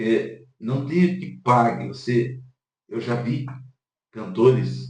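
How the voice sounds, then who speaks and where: A man with vocal fry and ordinary pitch variation, at a very slow pace, with audible room echo. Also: medium pitch for a man. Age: 40s. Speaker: pastor. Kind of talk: casual chat.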